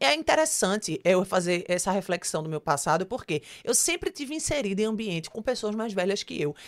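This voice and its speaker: At a medium pitch, a woman talks fairly quickly with hardly any pauses and an animated tone. Her pitch swings very widely. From Pernambuco, Brazil (Olinda/Recife). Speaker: singer, actress and TV presenter. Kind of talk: interview. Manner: talkative, animated.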